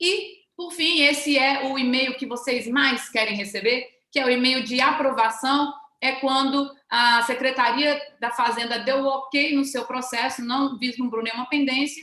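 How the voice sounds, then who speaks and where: A woman's raised, projected voice, high in pitch, with fairly even intonation. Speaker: government official presenting a webinar. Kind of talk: webinar presentation. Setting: online webinar. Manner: fast.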